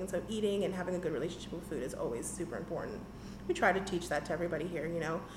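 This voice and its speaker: A woman at a very fast pace with an American accent, medium pitch and ordinary pitch variation, amid noticeable background noise and audible room echo. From Washington DC area. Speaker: small business owner. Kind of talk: casual interview. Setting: on location in her shop. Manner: animated.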